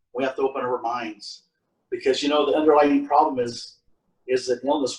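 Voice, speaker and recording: This man's voice is fairly high in pitch. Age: 60s. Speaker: panelist with lived experience of homelessness and mental illness. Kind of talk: testimony. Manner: halting.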